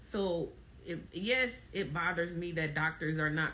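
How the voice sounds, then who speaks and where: A woman with a bright, sharp tone speaks at a fairly slow pace, with audible room echo around her. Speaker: fibroid awareness ambassador, live streamer. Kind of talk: live stream talk. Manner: emphatic, halting with repetitions.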